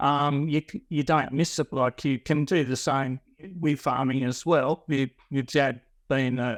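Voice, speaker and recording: At a fairly slow pace, a man speaks with a fairly high pitch and fairly even intonation. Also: dry, close sound with no echo. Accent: Australian. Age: 50s. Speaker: lawn mowing franchisee. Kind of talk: interview. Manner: halting.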